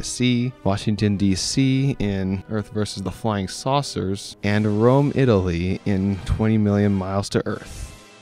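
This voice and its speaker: Music plays in the background as a man with a fairly low pitch speaks at a fairly slow pace with fairly even intonation. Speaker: student. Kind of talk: documentary narration.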